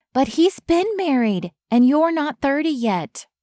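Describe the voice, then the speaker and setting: A female-sounding voice does a put-on character at a high pitch. The pace is fairly slow. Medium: read story. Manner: blunt, protective.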